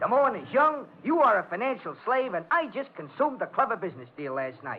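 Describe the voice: Using a put-on character voice, a man speaks high for a man at a fairly quick pace, with a slightly husky edge and big pitch swings.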